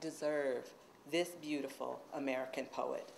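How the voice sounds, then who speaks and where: Speaking at a fairly slow pace, a woman keeps her intonation fairly even. Light background noise can be heard. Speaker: introducer at a reading series, university poet/professor. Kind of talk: introduction at a poetry reading. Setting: stage with audience. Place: classroom. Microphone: podium.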